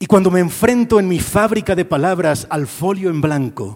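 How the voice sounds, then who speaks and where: A man with a Castilian accent, high in pitch, at a fairly slow pace with ordinary pitch variation. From Spain, Madrid. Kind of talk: sermon. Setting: church with audience.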